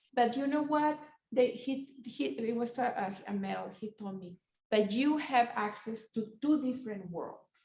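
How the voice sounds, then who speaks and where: A woman with a Spanish accent speaks at a moderate pace in a high voice with ordinary pitch variation, big swings in loudness, and long, frequent pauses. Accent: Spanish accent, noticeable. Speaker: professor. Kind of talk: panel discussion. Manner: halting, many fillers.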